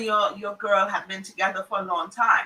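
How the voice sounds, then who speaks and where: A woman with a Trinidadian accent speaks in an animated tone. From Trinidad and Tobago. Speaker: psychologist and family therapist, talk show host. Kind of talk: casual group talk show.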